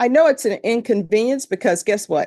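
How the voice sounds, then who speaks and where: In a Louisiana accent, the speaker talks at a moderate pace with ordinary pitch variation over a quiet background. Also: woman. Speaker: judge. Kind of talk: address to jury panel. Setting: courtroom. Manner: conversational.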